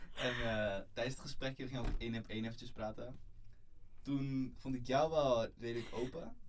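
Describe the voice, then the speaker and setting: A man with a normal speaking voice keeps a moderate tempo, a medium pitch and fairly even intonation. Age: 20s. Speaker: coach and web developer. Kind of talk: interview.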